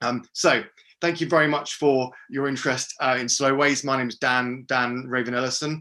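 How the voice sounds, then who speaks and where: Monotone, flat intonation from a man with a bright, sharp tone. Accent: British. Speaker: geographer and walking project founder. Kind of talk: webinar presentation. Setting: video call. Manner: fast; hesitant, many fillers.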